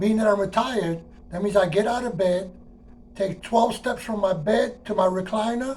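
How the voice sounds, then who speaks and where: Noticeable background noise accompanies a man with a New York accent. He keeps a moderate pace and ordinary pitch variation. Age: 60s. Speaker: retired transit worker. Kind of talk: personal monologue. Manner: casual, conversational.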